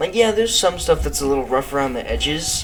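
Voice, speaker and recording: A man is speaking. Music can be heard in the background. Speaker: gamer. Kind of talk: casual gameplay commentary. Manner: stuttering.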